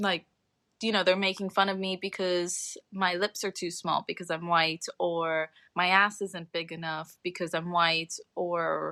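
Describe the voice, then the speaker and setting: In an American accent, a woman speaks at a fairly slow pace with a fairly low pitch. Her tone is bright and sharp, and her intonation is monotone and flat. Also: dry, close sound with no echo, very clean recording, silent background. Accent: sounds American. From Saint Martin, Caribbean. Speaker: environmental activist. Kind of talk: casual chat.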